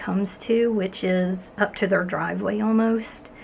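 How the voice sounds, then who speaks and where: Noticeable background noise sits behind a soft-spoken woman. Her intonation stays fairly even. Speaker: arts and crafts YouTuber. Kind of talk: casual vlog update. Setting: garage studio.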